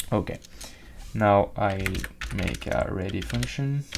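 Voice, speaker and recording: In a non-native accent, the speaker talks at a very slow pace. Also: man. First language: not English. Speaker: game development tutorial creator. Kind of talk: tutorial. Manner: hesitant, with fillers.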